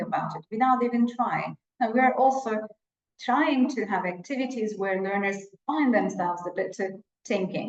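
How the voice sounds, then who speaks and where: In a Turkish accent, a woman with a fairly high pitch speaks at a moderate pace with lively intonation, and audible room echo can be heard. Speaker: English teacher educator, webinar presenter. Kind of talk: webinar lecture. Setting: online webinar with shared screen.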